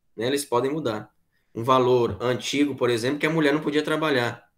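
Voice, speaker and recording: Against a quiet background, a man with a normal speaking voice talks fairly quickly at a fairly high pitch. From Piauí, Brazil (Corrente); Piauí, Brazil. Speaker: philosophy teacher; teacher. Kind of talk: online class lecture. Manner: conversational, repetitive filler tags. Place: home room. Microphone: webcam.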